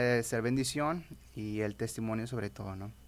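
In a very clean recording with a silent background, a man talks at a fairly slow pace in an ordinary speaking voice with ordinary pitch variation. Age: 20s. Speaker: evangelical youth leader. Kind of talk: casual interview testimony.

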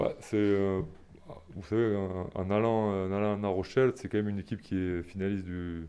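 The voice has a dark, mellow tone and fairly even intonation at a moderate pace. The background is quiet. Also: man. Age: 30s. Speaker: professional rugby player. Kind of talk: casual interview. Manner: halting, repeats words.

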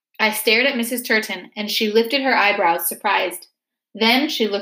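Behind the speech, the setting is quiet. The text is read aloud in a natural voice.

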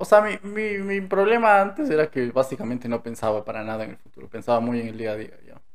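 At a very fast pace, a man speaks at medium pitch with very wide pitch swings and big swings in loudness. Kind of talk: casual chat. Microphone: new microphone.

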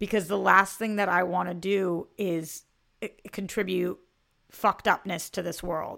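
Over a silent background in a very clean recording, a woman with a medium pitch talks at a fairly slow pace in a monotone, flat delivery, her bright, sharp tone edged with vocal fry. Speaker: podcast co-host. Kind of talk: casual chat.

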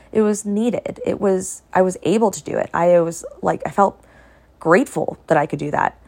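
Over noticeable background noise, a woman speaks at a moderate pace with a medium pitch and ordinary pitch variation. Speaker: podcast host. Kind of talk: solo podcast monologue, casual and reflective. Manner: calm, relaxed, easygoing.

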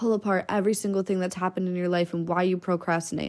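A woman speaks in a plain, everyday voice with an American accent, medium pitch and ordinary pitch variation, on a very clean recording with a silent background. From Minnesota, US Midwest. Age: 20s. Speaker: podcast host. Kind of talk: casual monologue. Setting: lying in bed at home. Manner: casual, filler-heavy.

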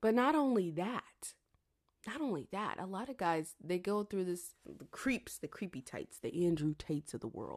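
A woman speaks at a medium pitch and moderate pace. Her tone is animated, with very wide pitch swings. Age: 30s. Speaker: podcaster and YouTuber. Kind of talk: casual solo monologue. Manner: animated, laughs often.

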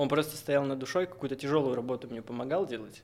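A normal speaking voice moves at a fairly quick pace. Its intonation stays fairly even. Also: man. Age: 20s. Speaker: tattoo artist. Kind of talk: casual chat. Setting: studio.

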